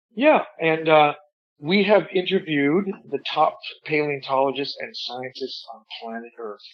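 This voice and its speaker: A man speaks with an unremarkable speaking voice. His pitch is fairly high and his pace fairly slow. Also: ordinary pitch variation, big swings in loudness. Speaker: ventriloquist. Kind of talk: interview answer. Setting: phone line.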